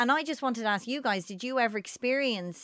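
A woman speaks with a Dublin accent. Her tone is bright and sharp, and her intonation lively. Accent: north Dublin Irish. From Ireland, north Dublin (Baldoyle). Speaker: radio host. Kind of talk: casual chat.

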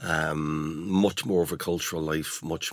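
With a slight Irish accent, a man talks at a very slow pace and a very deep, low pitch. The recording is very clean, with a silent background. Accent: smoothed generic Irish, slight. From Dundalk, Ireland. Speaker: poet and novelist.

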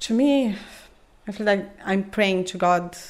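A woman speaks in a Romanian accent at medium pitch. Her pace is very slow, with ordinary pitch variation. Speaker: mother and Orthodox believer. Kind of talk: personal conversation in an interview. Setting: home kitchen. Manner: calm, gentle.

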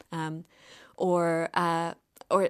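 A fairly low-pitched woman with a Cork accent, on a very clean recording with a silent background. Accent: Cork Irish. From Ireland, rural County Cork. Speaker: novelist and artist. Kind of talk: casual chat. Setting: studio.

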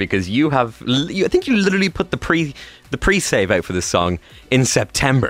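With an Irish accent, a man speaks at a moderate pace with very wide pitch swings. Noticeable background noise is present. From Ireland. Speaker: radio host. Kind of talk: casual chat.

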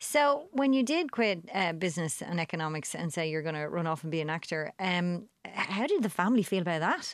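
A woman with an Irish accent talks at a fairly quick pace with hardly any pauses. Her fairly low-pitched voice has lively intonation. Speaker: radio host. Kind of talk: radio interview. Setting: studio. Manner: animated.

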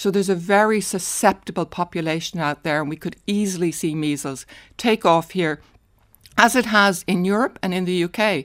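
A woman with an Irish accent, at a moderate pace, with ordinary pitch variation. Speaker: retired paediatrician. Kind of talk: radio interview. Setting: studio.

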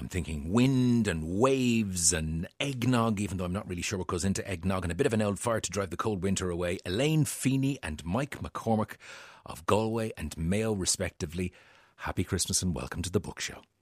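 A fairly low-pitched man with an Irish accent speaks at a fairly quick pace with lively intonation, in a very clean recording with a silent background. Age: 40s. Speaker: radio host. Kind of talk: radio book show chat.

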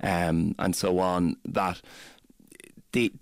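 Very slowly, a man speaks in a low pitch. His pitch moves very little.

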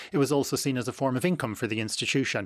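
In an Irish accent, a man talks at a very fast pace with ordinary pitch variation. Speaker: psychiatry professor and author. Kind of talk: radio interview. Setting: radio studio.

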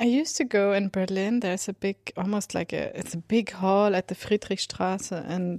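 A woman with a Swedish accent talks at a moderate pace and a medium pitch. The recording is very clean with a silent background and a dry, close sound with no echo. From Sweden. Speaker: composer. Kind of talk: casual monologue. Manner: halting.

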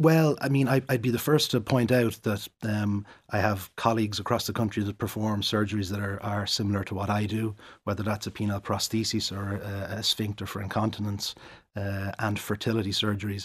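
Somewhat breathy, a man with an Irish accent speaks at a fairly quick pace with fairly even intonation. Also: fairly low pitch for a man, very clean recording, silent background. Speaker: urologist. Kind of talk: interview. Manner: halting.

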